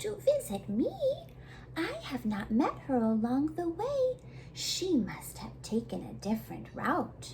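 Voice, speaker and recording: Over clear background noise, a female-sounding voice in a put-on character voice speaks at a fairly slow pace. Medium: read story. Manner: falsely sweet, wheedling; careful, quick-witted.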